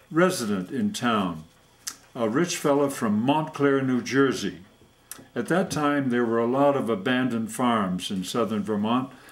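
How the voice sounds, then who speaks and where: A man talks at a fairly slow pace, his intonation lively, while noticeable background noise plays underneath. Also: medium pitch for a man. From Vermont. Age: 80s+. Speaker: war veteran. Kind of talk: storytelling.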